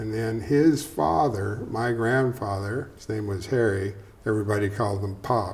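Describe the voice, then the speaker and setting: A plain, everyday voice from a man with a fairly low pitch and ordinary pitch variation, at a moderate pace. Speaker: welding business co-owner and local storyteller. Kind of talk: oral history interview. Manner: conversational, storytelling, colloquial.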